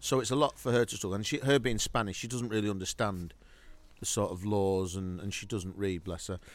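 A man talks at a fairly quick pace in a normal speaking voice. His pitch is fairly low, with ordinary variation. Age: 50s. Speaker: podcast co-host. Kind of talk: casual chat. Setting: outdoors in a garden.

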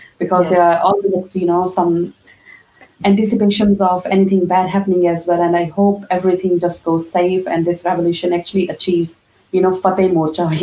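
A woman speaks at a medium pitch in a flat monotone. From Punjab, India. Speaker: podcast co-host. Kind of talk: casual interview chat.

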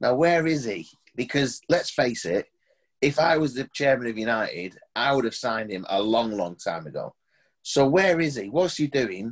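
Over a silent background on a very clean recording, a man with an unremarkable speaking voice talks at medium pitch and a moderate pace with lively intonation. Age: 50s. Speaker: TV presenter and pantomime performer. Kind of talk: casual chat.

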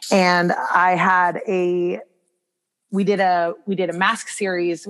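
A woman's fairly low-pitched voice with an American accent. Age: 30s. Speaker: brow bar owner and wellness coach. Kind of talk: casual interview.

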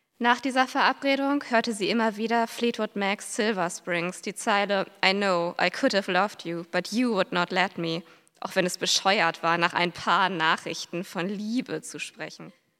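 A woman speaks in a bright, sharp tone at medium pitch, with ordinary pitch variation. Her pace is fairly slow with hardly any pauses, on a very clean recording with a silent background. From western and northern Germany. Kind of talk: reading aloud.

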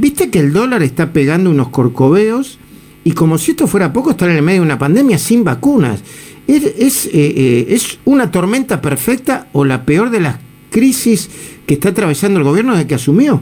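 Pitched high, with very wide pitch swings, a man speaks at a moderate pace in a dark, mellow tone, his loudness very even. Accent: Rioplatense. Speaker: radio host. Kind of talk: radio interview.

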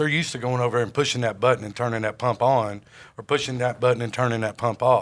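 Against a silent background on a very clean recording, a man speaks very fast at a medium pitch. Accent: Southern US. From Jonesboro, Arkansas. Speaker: sales executive. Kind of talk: podcast interview.

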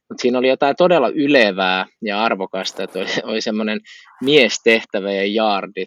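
A plain, everyday voice from a man, medium in pitch, at a moderate pace with ordinary pitch variation. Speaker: podcast co-host. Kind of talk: casual chat.

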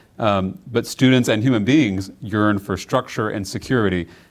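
A man speaks at a moderate pace with an American accent, using an unremarkable speaking voice at a medium pitch with ordinary pitch variation. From Texas, Round Rock near Austin. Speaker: state legislator, former teacher. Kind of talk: political interview. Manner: frequent filler words (um, uh, you know).

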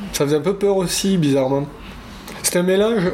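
A man is speaking with ordinary pitch variation. Noticeable background noise runs under his voice. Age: 20s. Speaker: interviewee sharing lockdown couple story. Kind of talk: casual chat.

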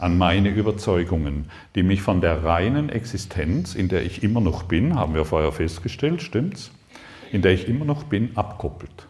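At a moderate pace, a man speaks in a very deep, low, somewhat breathy voice with very even loudness. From southern Germany, Lake Constance. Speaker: spiritual seminar teacher. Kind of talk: spiritual workshop talk. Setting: seminar room with live audience. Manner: animated.

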